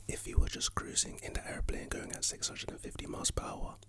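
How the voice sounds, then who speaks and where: Whispered speech from a man at a moderate pace, noticeable background noise behind it. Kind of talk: whispered ASMR ramble about life and motivation. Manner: whispered, soft-spoken, sleepy.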